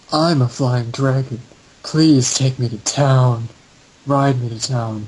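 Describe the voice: A gravelly, put-on character voice moves at a fairly slow pace. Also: man, medium pitch for a man.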